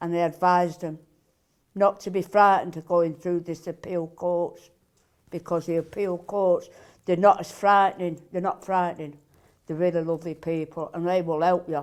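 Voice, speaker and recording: Her fairly low pitch and monotone, flat intonation carry this woman's speech at a moderate pace. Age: 60s. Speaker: benefit claimant. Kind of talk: interview testimony.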